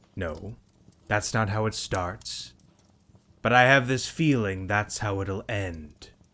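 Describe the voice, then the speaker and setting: A man's put-on character voice, gruff and growling, fairly low in pitch, at a fairly slow pace with long, frequent pauses, in a very clean recording with a silent background. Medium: read story. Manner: gruff, growling.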